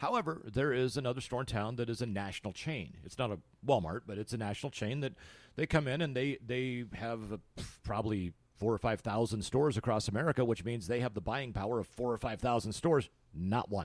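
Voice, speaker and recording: His is a normal speaking voice at medium pitch, with ordinary pitch variation. The man keeps a fairly quick pace. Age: 50s. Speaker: podcast host. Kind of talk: interview.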